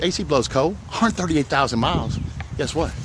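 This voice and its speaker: A man with a New Orleans accent is heard over noticeable background noise. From New Orleans West Bank, Louisiana. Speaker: used car dealer. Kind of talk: sales pitch walkthrough video. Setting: outdoors on car lot. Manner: animated.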